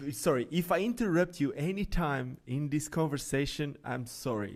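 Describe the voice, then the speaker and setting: Lively, fairly high-pitched male speech at a moderate pace, with noticeable background noise. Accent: Portuguese. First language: Portuguese. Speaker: podcast host. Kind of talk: casual interview.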